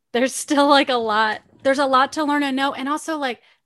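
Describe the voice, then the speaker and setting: Here a woman talks at a very fast pace. Her pitch is high, with ordinary variation. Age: 40s. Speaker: podcast host. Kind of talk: casual chat.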